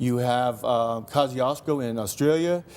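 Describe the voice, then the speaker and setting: An ordinary speaking voice from a man, medium in pitch with ordinary pitch variation and a Canadian accent. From Canada, Fort McMurray, Alberta. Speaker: mountaineer. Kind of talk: TV interview. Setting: TV studio.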